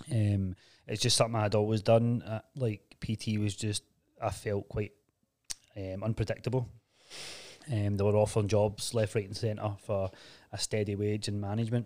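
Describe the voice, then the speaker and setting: Speaking at a moderate pace in a Glaswegian accent, the voice keeps a monotone, flat intonation and leaves long, frequent pauses. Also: man, fairly low pitch for a man. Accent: Glaswegian Scottish. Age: 30s. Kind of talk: casual chat. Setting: studio.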